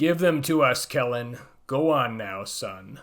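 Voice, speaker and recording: Putting on a character voice, a man sounds booming and raspy at medium pitch, speaking at a fairly slow pace. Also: lively intonation. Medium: read story. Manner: menacing, sneering.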